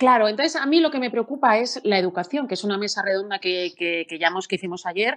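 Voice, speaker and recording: Her intonation is lively, and the pitch is medium for a woman. She uses an ordinary speaking voice. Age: 40s. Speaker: radio presenter and moderator. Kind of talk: panel moderation. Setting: live stream on social media.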